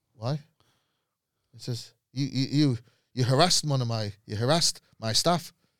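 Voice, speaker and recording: A man with a Mancunian accent, medium pitch and ordinary pitch variation, at a moderate pace with long, frequent pauses. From Manchester, Moss Side. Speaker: comedian. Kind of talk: casual chat.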